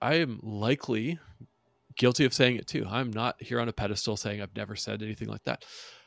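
A man with an ordinary speaking voice talks at a fairly quick pace in a dry, close sound with no echo. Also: medium pitch for a man, ordinary pitch variation, very clean recording, silent background. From northern US. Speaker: podcast host. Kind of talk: casual interview.

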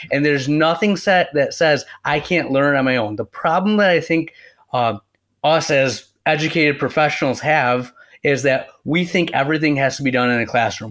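A man with a plain, everyday voice, fairly high pitch, very even loudness, ordinary pitch variation, and a moderate pace, on a very clean recording with a silent background. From West Michigan, US. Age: young. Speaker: optometrist. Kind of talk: casual interview.

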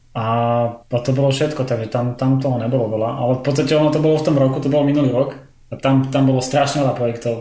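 A man speaks in a dark, mellow tone that is somewhat breathy. His intonation is monotone and flat, with audible room echo. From Slovakia. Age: 30s. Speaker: visual effects compositor. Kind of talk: casual interview chat. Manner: halting, many fillers.

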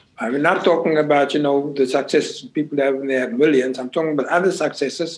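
The speech is very fast with hardly any pauses. Intonation stays fairly even. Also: man, fairly high pitch for a man. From South Africa, Cape Town. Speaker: retired activist, father of the host. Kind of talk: family interview conversation. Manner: halting.

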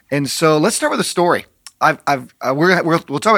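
Bright and sharp in tone, a man talks at a fairly quick pace with a fairly high pitch. His pitch variation is ordinary, and the recording is very clean with a silent background. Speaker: senior pastor, podcast co-host. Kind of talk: casual interview. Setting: studio. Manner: jovial, laughs often.

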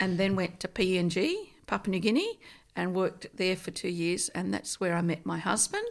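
A woman speaks in a rural Australian accent. She keeps a moderate pace. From rural New South Wales, Australia. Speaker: Bible translation missionary. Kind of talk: casual interview.

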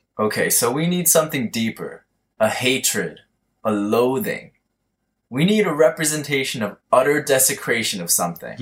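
A put-on character voice drawls at a moderate pace with very wide pitch swings. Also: man, fairly high pitch for a man. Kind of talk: comic stoner caricature. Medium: audio drama. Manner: laid-back slacker drawl, says bro.

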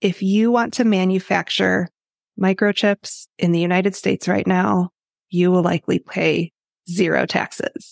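An ordinary speaking voice from a woman with an American accent: medium pitch, fairly even intonation, very even loudness, moderate pace, and a dry, close sound with no echo in a very clean recording with a silent background. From Chicago, Illinois. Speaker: accountant. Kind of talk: casual interview.

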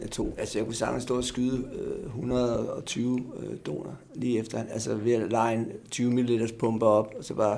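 Noticeable background noise sits behind a man who talks in a monotone, flat way. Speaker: drug user, heroin treatment patient. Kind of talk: interview, discussion.

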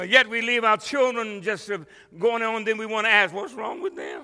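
A man's high-pitched, raised, projected voice, animated and bright, sharp in tone. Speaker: pastor. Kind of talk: sermon. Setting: church with congregation. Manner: animated, call-and-response preaching; fervent, exhorting the congregation.

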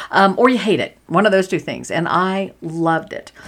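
Pitch varies in an ordinary way. The delivery is animated and moves at a moderate pace. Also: woman. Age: 50s. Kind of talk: casual monologue. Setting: small home office. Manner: animated, frequent laughter.

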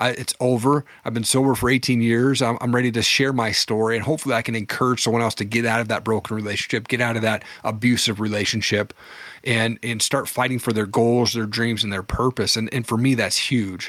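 Fairly quick, monotone, flat speech in an American accent with hardly any pauses. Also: man, medium pitch for a man. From Washington State. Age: 40s. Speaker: entrepreneur and podcast host. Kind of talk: testimony. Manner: casual.

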